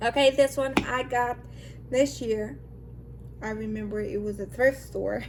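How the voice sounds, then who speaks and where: With noticeable background noise behind her, a woman speaks at a fairly slow pace, leaving long, frequent pauses. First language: not English. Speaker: lifestyle vlogger. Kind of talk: casual vlog talk. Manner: animated.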